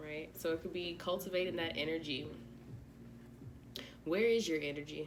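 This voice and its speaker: With audible room echo, a woman speaks at a moderate pace and a fairly low pitch, her fairly even intonation broken by long, frequent pauses. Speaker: tarot reader. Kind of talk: tarot reading. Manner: monotone; flat.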